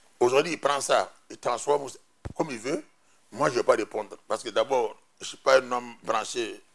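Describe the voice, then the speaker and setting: A man speaks with a Burkinabe accent. His pace is moderate. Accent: Burkinabè French. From Burkina Faso. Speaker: politician, party executive; politician. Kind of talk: TV interview, political debate. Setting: TV studio. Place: studio. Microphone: lapel.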